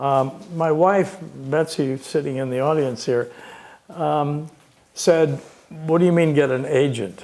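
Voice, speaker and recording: The speech moves at a fairly slow pace with long, frequent pauses and ordinary pitch variation, over noticeable background noise and audible room echo. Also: man, fairly high pitch for a man. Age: 80s+. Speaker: author, retired doctor. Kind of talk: author talk, Q&A. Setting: stage with audience. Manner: halting, many fillers.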